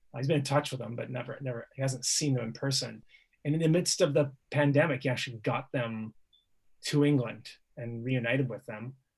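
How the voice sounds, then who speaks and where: A man talks at a fairly quick pace at medium pitch, with fairly even intonation. His voice is somewhat breathy. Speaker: poet and activist. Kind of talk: panel discussion.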